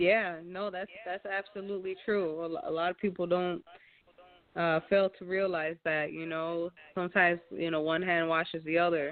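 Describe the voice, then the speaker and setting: A woman with a fairly low pitch talks at a moderate pace in a monotone, flat intonation. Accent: Chicago. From Chicago. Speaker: singer. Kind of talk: interview. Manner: hesitant, many fillers.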